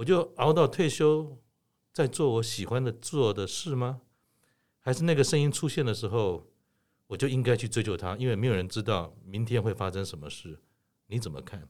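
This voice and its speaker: At a moderate pace, a man speaks with medium pitch and very wide pitch swings. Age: 60s. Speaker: podcast host. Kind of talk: interview.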